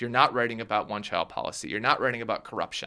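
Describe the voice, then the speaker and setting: A man's bright, sharp voice at a medium pitch, with an American accent, on a very clean recording with a silent background. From US Midwest, Minnesota. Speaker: author. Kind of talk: interview. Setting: studio.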